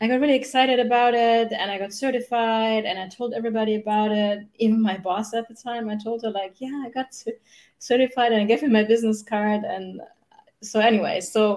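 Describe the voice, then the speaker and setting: In a German accent, a woman talks at a fairly quick pace with a fairly high pitch and fairly even intonation. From Germany. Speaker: human design mentor. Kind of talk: interview. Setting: video call.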